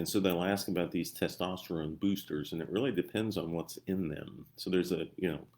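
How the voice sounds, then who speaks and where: A man in a strong Ozarks accent talks at a fairly quick pace, his very deep, low pitch held in fairly even intonation. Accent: strong Missouri Ozarks. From Missouri. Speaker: doctor and health coach. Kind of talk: live-stream health talk. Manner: casual, halting with fillers.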